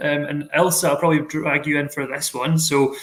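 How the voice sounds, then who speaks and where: Bright and sharp in tone, a man with a Glaswegian accent speaks at a fairly high pitch and a fairly quick pace. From Scotland, Glasgow. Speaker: university staff host of student Q&A. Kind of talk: live Q&A moderation. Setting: live online stream.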